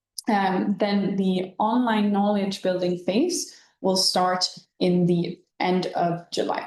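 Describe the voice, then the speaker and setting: A woman speaks very slowly with a non-native accent at medium pitch. Her intonation is fairly even and her loudness very even. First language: not English. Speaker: webinar co-host, youth programme staff. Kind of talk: informational webinar. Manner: halting.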